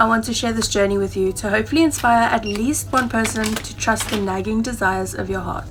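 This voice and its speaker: A woman with a South African accent speaks at a fairly quick pace over noticeable background noise. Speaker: travel vlogger. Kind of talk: vlog monologue.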